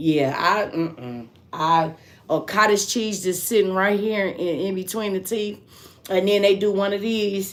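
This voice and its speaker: In an animated tone, a woman at a medium pitch talks fairly slowly with ordinary pitch variation. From Michigan. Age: 50s. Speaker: live streamer. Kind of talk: casual chat.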